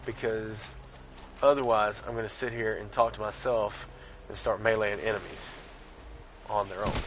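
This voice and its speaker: In a Southern accent, a man with a fairly low pitch talks at a moderate pace in a monotone, flat intonation, with long, frequent pauses and big swings in loudness. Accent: light Southern. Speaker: gaming streamer. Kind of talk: live gameplay commentary. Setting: live stream. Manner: casual, chatty.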